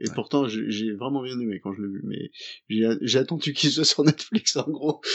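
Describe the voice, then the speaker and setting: A man with an unremarkable speaking voice speaks at a fairly slow pace in a medium pitch, with lively intonation and hardly any pauses. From partly Indonesia. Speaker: podcast co-host. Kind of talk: casual chat.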